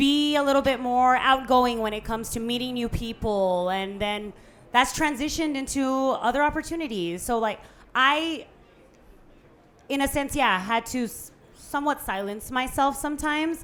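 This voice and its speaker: A woman speaks loudly in a high pitch. Her pitch variation is ordinary. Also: moderate pace. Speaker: podcast guest, businesswoman. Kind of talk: live podcast conversation. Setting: live podcast event with audience.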